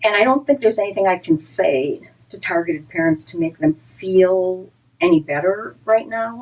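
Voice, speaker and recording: Speaking at a moderate pace, a woman with an ordinary speaking voice and medium pitch uses lively intonation and big swings in loudness. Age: 60s. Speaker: advocacy group director. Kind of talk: direct-to-camera talk. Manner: earnest, conversational with repetitions.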